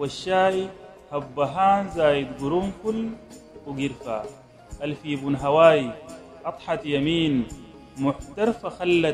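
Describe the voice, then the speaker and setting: A man speaks at a very slow pace with long, frequent pauses. His intonation is lively, and music plays in the background. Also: fairly high pitch for a man. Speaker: poet. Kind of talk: poetry reading.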